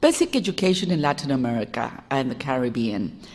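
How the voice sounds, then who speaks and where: A woman speaks with a Spanish accent. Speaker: education reformer and sociologist. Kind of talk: lecture. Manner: fast.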